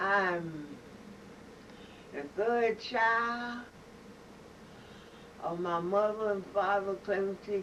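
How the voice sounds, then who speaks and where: At a very slow pace, a woman speaks at a medium pitch over noticeable background noise. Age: 80s+. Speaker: family elder giving a recorded greeting. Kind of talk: recorded family testimony.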